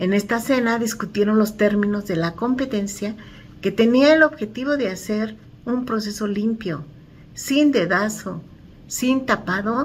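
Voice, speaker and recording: Somewhat breathy and fairly slow, the speech has lively intonation. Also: woman. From Mexico City (Iztacalco). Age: 60s. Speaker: community activist. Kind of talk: book commentary.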